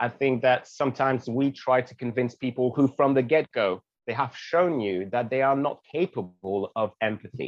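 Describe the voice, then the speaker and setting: With a French accent, a man speaks at a moderate pace and medium pitch, using ordinary pitch variation and hardly any pauses. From Guadeloupe. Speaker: activist and content creator. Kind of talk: casual interview chat.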